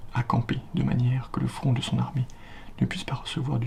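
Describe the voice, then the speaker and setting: Someone whispers in a soft-spoken way at a moderate pace over noticeable background noise. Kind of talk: ASMR book reading, classical text read aloud for relaxation. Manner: whispered, soft.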